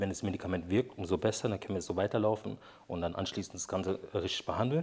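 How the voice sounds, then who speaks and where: Over a silent background in a very clean recording, a man talks very fast with a very deep, low pitch. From Brazil, moved to Germany at ten. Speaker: interview guest telling personal tragedy. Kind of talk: personal testimony in casual interview. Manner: halting, many fillers.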